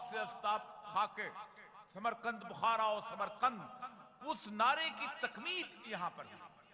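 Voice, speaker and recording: A man raises and projects his voice at a high pitch with ordinary variation. Noticeable noise sits in the background. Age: 60s. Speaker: religious speaker. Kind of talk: religious speech. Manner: formal.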